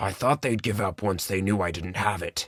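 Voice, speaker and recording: Growling in a put-on character voice, a man speaks at a fairly low pitch on a very clean recording with a silent background. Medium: read story. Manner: weary, gentle.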